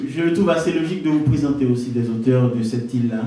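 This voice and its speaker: Noticeable background noise is present throughout. A man speaks, his pitch varying in an ordinary way. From Haiti. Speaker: poet. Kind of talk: introduction to live audience.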